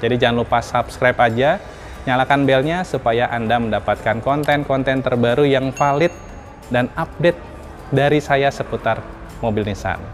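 Faint music sits in the background while a man speaks at a moderate pace with ordinary pitch variation. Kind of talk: casual vlog intro. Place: shop. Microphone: lapel.

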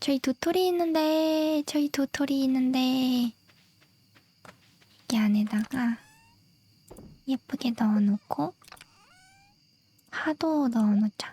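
Soft-spoken and high-pitched, a woman talks at a very slow pace with long, frequent pauses, very even loudness and ordinary pitch variation, in a dry, close sound with no echo. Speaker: game streamer. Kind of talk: gameplay chat. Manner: whispering.

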